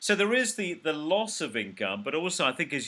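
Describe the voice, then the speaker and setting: A man speaks in a British accent. His pitch is high, and his tone is bright and sharp. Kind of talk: casual video call conversation, host.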